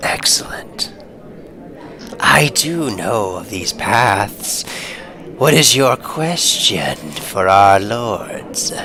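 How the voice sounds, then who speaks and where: Whispering, a man puts on a character voice. He goes at a very slow pace. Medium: actual play.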